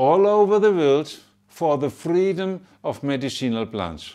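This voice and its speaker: In a very clean recording with a silent background, a man with a German accent speaks fairly slowly, his pitch swinging very widely. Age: 70s. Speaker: pharmacist and association chairman. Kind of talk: address to supporters. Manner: halting.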